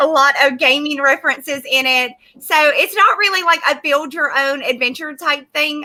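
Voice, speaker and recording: A woman with a Southern US accent raises and projects her voice at a moderate pace. Her pitch is high and her tone bright and sharp. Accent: American, Southern. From US South. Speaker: comic book creator. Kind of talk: casual chat. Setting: livestream.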